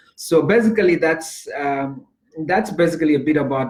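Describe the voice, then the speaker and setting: A man with a Zambian accent speaks at a moderate pace in a somewhat breathy voice. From Zambia, Lusaka. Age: 30s. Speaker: life coach and speaker. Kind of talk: interview. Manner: repetitive, halting with many fillers.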